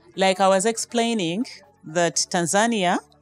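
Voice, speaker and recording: Faint music plays in the background while a woman talks at a moderate pace with ordinary pitch variation in a dry sound with no echo. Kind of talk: interview answer. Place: hall. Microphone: handheld.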